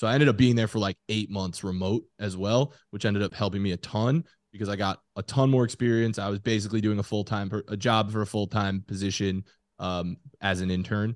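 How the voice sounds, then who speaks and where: A man speaks in a normal speaking voice, fairly low in pitch, at a fairly quick pace with fairly even intonation. The sound is dry and close with no echo, over a quiet background. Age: 20s. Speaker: sports podcaster. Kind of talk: casual chat. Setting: studio.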